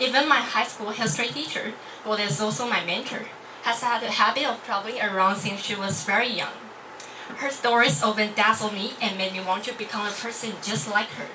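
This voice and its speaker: Over noticeable background noise, a woman speaks in a Chinese accent at a fairly quick pace. Her voice is fairly high, with ordinary pitch variation. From Taiwan. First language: Mandarin Chinese. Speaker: university student. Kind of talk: club speech. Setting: stage with audience. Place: classroom.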